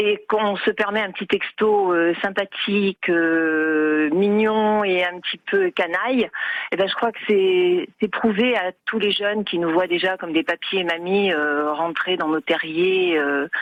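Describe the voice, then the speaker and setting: Her pitch moves up and down in an ordinary way. This woman's delivery is very slow. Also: medium pitch for a woman. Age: 60s. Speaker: caller. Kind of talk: radio phone-in testimony. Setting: phone call. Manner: animated; hesitant with many fillers.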